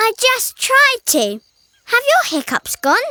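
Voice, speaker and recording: A cartoonish character voice with an extremely high, squeaky pitch. The tone is warm and gentle, and the pace is fairly slow. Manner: warm, gentle.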